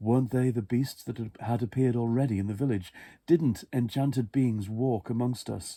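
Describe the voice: Fairly even intonation in plain reading aloud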